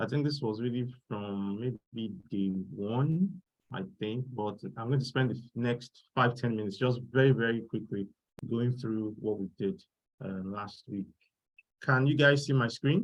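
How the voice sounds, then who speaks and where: In a normal speaking voice, a man talks at a fairly slow pace with medium pitch and ordinary pitch variation. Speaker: workshop instructor. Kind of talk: online tutorial.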